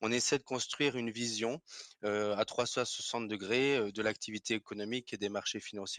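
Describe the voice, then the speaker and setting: Here a man speaks at a fairly quick pace with fairly even intonation. The sound is dry and close, with no echo. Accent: Alsatian. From Alsace, France. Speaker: finance professional, investment salesperson. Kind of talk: podcast interview. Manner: hesitant, frequent filler sounds.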